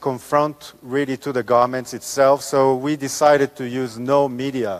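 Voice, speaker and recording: The voice comes through at a moderate pace with a dry, close sound and no echo. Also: man. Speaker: architect. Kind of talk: lecture. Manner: halting, many fillers.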